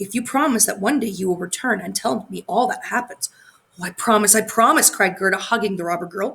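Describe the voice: A passage gets plain reading aloud, its pitch variation ordinary.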